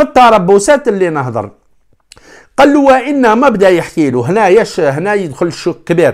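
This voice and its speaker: A man talks at a high pitch with very wide pitch swings. His pace is moderate, and the background is quiet. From Algeria. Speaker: sports YouTuber. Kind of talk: solo commentary vlog. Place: home room. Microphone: lapel.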